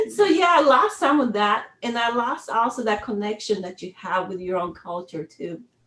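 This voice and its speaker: Lively intonation from a woman with a Spanish accent, fairly high in pitch, at a moderate pace. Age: 50s. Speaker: retired army sergeant major, workshop facilitator. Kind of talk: interview conversation. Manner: halting.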